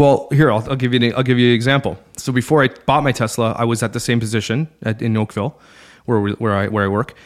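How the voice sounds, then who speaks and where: In a very clean recording with a silent background, a man with a medium pitch talks at a very fast pace with ordinary pitch variation. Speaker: podcaster. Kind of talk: casual interview chat. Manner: fast talker.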